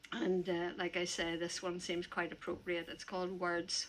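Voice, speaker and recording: In a Northern Irish accent, a woman speaks at a medium pitch with a bright, sharp tone. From Northern Ireland. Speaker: poet. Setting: stage with audience. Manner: halting.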